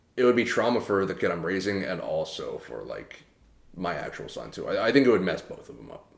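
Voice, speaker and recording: With an American accent, a man talks at a fairly quick pace. His loudness swings widely. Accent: sounds American. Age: 20s. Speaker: podcast co-host. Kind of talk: casual chat. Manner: halting, many fillers.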